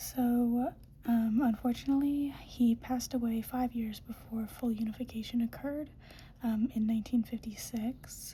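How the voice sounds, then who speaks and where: Soft-spoken delivery at a moderate pace. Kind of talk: ASMR educational talk.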